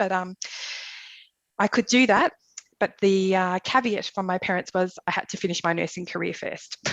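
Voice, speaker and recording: A woman talks in an Australian accent at a moderate pace. Her pitch variation is ordinary, and the sound is dry and close with no echo. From Australia, Melbourne. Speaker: emergency nurse. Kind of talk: casual interview.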